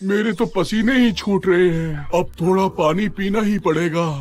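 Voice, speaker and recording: A man's cartoonish character voice, high-pitched, at a fairly slow pace with ordinary pitch variation. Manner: drowsy, whiny.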